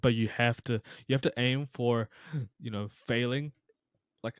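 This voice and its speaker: A man with a New Zealand accent speaks at a moderate pace with fairly even intonation, the sound dry and close with no echo on a very clean recording over a silent background. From New Zealand (Taranaki), immigrant from Pakistan. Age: 20s. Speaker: psychology content creator, former personal trainer teacher. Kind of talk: casual podcast chat.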